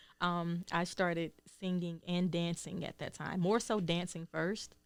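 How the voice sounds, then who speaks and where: In a Southern US accent, the voice moves at a fairly slow pace with monotone, flat intonation. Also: woman, fairly low pitch for a woman. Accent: Southern, noticeable. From Georgia, US South. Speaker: singer and healer. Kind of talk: interview. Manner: hesitant, many ums.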